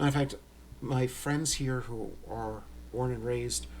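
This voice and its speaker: A man speaks in an American accent, with audible room echo around him. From New York. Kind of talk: casual unboxing tutorial.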